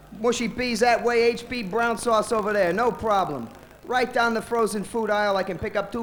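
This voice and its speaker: Speaking at a fairly quick pace with an American accent, a man uses a high pitch and fairly even intonation. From United States. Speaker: stand-up comedian. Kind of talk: stand-up; interview. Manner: halting, many fillers.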